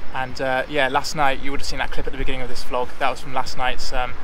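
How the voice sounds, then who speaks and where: A man talks at a very fast pace in a monotone, flat intonation, with dry sound that has no echo and noticeable background noise. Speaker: travel vlogger. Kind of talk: casual vlog chat. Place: beach. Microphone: phone near.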